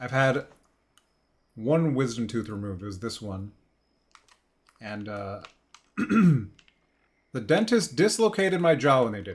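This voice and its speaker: A man with a medium pitch talks in a relaxed tone at a fairly slow pace, somewhat breathy, with very wide pitch swings, big swings in loudness, and long, frequent pauses. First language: not English. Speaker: gaming streamer. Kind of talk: casual live-stream chat. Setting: live stream. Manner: relaxed, chill.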